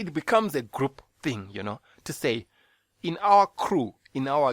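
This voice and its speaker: With a Zimbabwean accent, a man talks using very wide pitch swings. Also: dry, close sound with no echo. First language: Shona. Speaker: podcast host. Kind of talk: bible teaching; casual monologue.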